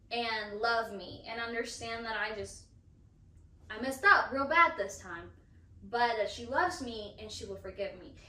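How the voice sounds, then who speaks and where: Against audible room echo, a woman with a fairly high voice and lively intonation speaks at a fairly slow pace. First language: Spanish. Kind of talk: casual chat.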